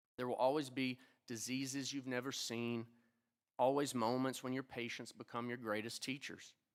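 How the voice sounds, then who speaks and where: Speaking at a moderate pace with an Appalachian accent, the voice stays monotone and flat. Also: man, medium pitch for a man. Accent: Appalachian twang. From Appalachia (eastern Kentucky, 606 area code). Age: old. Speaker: physician, oculoplastic surgeon and teacher. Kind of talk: ceremony speech. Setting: stage with audience at a convention center. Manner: formal.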